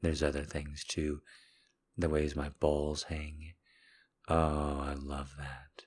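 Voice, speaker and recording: Very slowly and with long, frequent pauses, a man speaks at a very deep, low pitch in a somewhat breathy, monotone, flat voice. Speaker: podcast host. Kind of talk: intimate monologue. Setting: solo recording at night.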